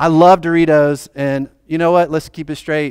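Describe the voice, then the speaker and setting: A normal speaking voice at a moderate pace comes through dry and close with no echo, on a very clean recording with a silent background. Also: man. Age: 40s. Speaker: pastor. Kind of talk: sermon. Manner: casual, conversational.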